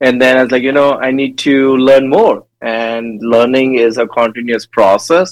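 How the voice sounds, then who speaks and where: A man's voice at a fairly slow pace, with fairly even intonation. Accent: Indian. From India. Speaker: dental education director. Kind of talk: casual interview.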